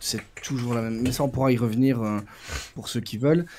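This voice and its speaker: With a slight Brussels accent, a man speaks at a medium pitch. His tone is dark and mellow. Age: 40s. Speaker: prison guard. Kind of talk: interview. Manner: halting.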